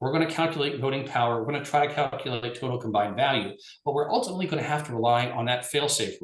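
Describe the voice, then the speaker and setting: Very fast and lively in intonation, a man speaks at a fairly high pitch. Audible room echo surrounds his voice. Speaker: lawyer presenting on regulation. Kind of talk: webinar presentation.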